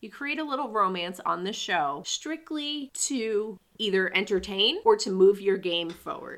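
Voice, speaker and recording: A woman with a fairly high pitch speaks at a fairly slow pace with hardly any pauses, making very wide pitch swings and big swings in loudness. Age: 30s. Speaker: podcast host. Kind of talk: casual chat.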